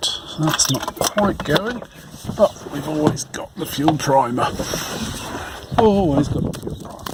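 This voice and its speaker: Lively intonation and big swings in loudness at a fairly slow pace, with long, frequent pauses over noticeable background noise. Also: man, fairly high pitch for a man. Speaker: car owner making a repair update. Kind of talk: casual talk to camera. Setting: outdoors, with wind noise. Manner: soft-spoken, quiet.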